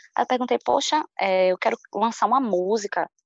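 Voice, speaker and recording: A woman speaks at a moderate pace with a medium pitch and lively intonation, recorded with a dry, close sound and no echo. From Salvador, Bahia, Brazil. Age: 20s. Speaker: singer-songwriter. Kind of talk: interview.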